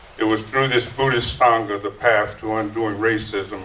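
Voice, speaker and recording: A man with an American accent talks at a moderate pace in a fairly low pitch with monotone, flat intonation, over noticeable background noise and audible room echo. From US South, North Carolina. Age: 60s. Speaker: activist and Buddhist lay member. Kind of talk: testimony. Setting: church hall with audience.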